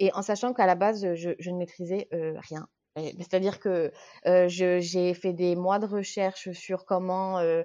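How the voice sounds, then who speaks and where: A woman speaks at a very slow pace with a dark, mellow tone. Her pitch sits fairly low. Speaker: watercolour illustrator. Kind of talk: podcast interview. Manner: hesitant, many fillers; animated.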